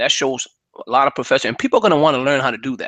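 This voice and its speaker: Against a quiet background, a man speaks with lively intonation. His tone is animated, bright and sharp. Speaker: webinar host teaching online marketing graphics. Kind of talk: screen-share tutorial. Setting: online webinar. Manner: fast.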